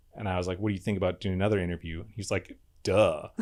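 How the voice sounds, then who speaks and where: A man is speaking here. He has a slight Midwestern accent. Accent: slight Midwest. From Wisconsin, Eau Claire. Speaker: podcaster. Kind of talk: casual chat.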